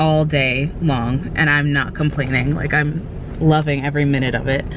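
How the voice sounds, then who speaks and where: A woman talks at a moderate pace, the sound dry with no echo and noticeable noise in the background. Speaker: vlogger. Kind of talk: casual vlog chat. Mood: cheerful, affectionate. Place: car. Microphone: phone near.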